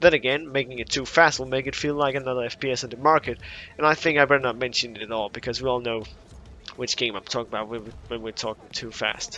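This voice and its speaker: This man talks at a very fast pace with a non-native accent. His intonation stays fairly even. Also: medium pitch for a man. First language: not English. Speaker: gaming YouTuber. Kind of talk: gaming commentary. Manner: casual, some hesitations.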